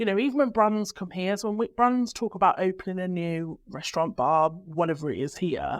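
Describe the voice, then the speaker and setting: Recorded very cleanly against a silent background, a woman with a Birmingham accent and a medium pitch speaks at a fairly quick pace with lively intonation. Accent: Brummie. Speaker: PR agency director. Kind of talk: podcast conversation.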